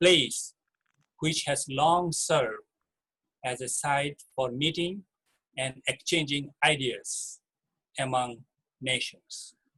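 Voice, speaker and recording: Dry and close with no echo, a man with a Bangladeshi accent speaks slowly-ish in a fairly high pitch, his tone bright and sharp and his intonation fairly even. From Chittagong Hill Tracts, Bangladesh. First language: Marma. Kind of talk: talk sharing personal story. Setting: video call. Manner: hesitant, with fillers.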